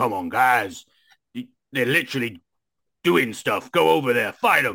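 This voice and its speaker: Putting on a character voice, a man speaks at a medium pitch. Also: moderate pace. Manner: exasperated, commanding.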